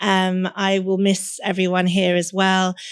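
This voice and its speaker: The speaker has an English accent. The recording is very clean with a silent background. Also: woman. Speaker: lawyer turned career coach and podcast host. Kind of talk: podcast interview.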